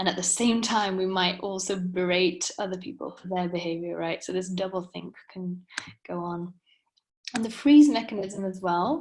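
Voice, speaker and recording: A woman with a Welsh accent speaks with big swings in loudness. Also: medium pitch for a woman, ordinary pitch variation, moderate pace. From Wales. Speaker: coach. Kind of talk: webinar lecture.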